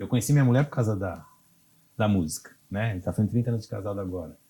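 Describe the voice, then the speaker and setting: This man has a somewhat breathy voice with a dark, mellow tone. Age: 60s. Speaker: cultural producer and musician. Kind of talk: interview. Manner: halting, many fillers.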